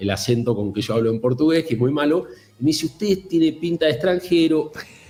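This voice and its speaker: Talking at a very fast pace, a man uses ordinary pitch variation with a dark, mellow tone that is somewhat breathy. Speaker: fintech executive. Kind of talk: interview.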